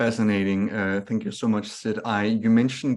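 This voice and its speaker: A man with a Scandinavian accent, medium pitch, fairly quick pace, and a quiet background. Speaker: webinar moderator. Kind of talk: webinar moderation. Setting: online webinar.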